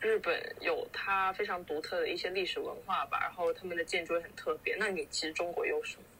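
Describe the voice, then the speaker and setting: Noticeable background noise runs under speech delivered at a fairly fast rate. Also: woman. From Guangdong (Foshan). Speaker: podcast co-host. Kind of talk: casual chat.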